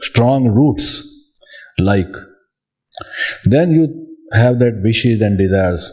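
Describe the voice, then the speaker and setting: Lively intonation marks this man's speech. He talks at a very slow pace. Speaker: spiritual teacher. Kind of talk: spiritual talk.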